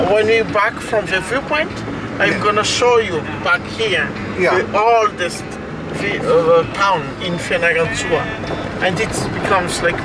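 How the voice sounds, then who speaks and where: The speech goes at a fairly slow pace with long, frequent pauses. Music plays in the background, and the sound is dry with no echo. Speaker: local tour guide. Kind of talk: guided tour commentary. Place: car. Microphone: camera far.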